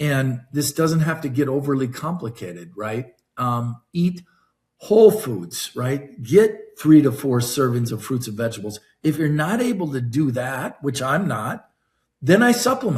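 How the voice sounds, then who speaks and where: A man with a fairly high, somewhat breathy voice speaks at a fairly slow pace with very wide pitch swings. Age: 60s. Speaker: wellness company executive and physiologist. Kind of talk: interview podcast. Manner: animated.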